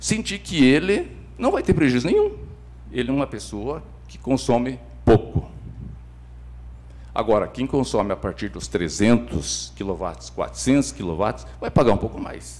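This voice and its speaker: With vocal fry and very wide pitch swings, a man of fairly low pitch leaves long, frequent pauses. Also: moderate pace, big swings in loudness. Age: 60s. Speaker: city councillor, government leader. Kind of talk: council debate speech. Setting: council chamber session.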